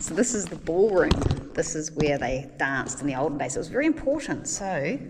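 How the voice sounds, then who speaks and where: A woman with a New Zealand accent, very deep, low pitch, lively intonation and a fairly quick pace, amid audible room echo and noticeable background noise. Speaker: travel vlogger. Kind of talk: travel vlog narration.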